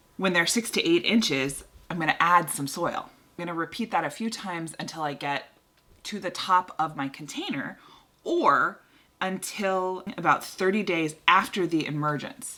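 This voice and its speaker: A woman speaks at a moderate pace with ordinary pitch variation. Her fairly low voice has a bright, sharp tone. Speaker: gardening channel host. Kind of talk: tutorial.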